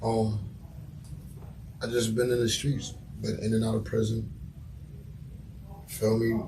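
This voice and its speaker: With audible room echo, a man at a medium pitch speaks at a fairly slow pace in a monotone, flat intonation, his loudness very even and his pauses long and frequent. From Mount Vernon, New York. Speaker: rapper. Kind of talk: casual interview.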